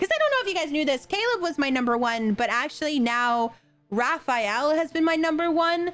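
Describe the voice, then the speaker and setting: Music in the background behind fairly quick, animated speech at very even loudness. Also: woman, high pitch for a woman, lively intonation. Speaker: gaming content creator. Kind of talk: casual game commentary.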